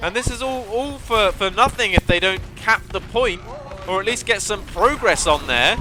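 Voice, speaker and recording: Over music in the background, a man with a high pitch talks at a moderate pace in an animated tone with ordinary pitch variation. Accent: southern English. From southern England. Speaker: esports caster. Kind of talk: live commentary. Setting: live stream.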